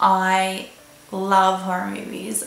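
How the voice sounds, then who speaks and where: A woman with an Australian accent talks at medium pitch. Noticeable background noise and audible room echo surround her voice. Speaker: vlogger and model. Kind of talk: casual vlog talk.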